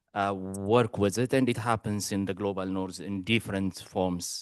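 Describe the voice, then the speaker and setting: Heard in a dry, close sound with no echo, a man with a non-native accent speaks at a very deep, low pitch and a moderate pace. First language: not English. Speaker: conference attendee asking questions. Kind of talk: audience question. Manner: halting, many fillers.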